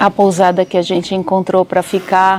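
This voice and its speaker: Speech at a fairly slow pace comes with noticeable background noise. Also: woman. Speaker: travel vlogger. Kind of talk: travel storytelling vlog. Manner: soft-spoken.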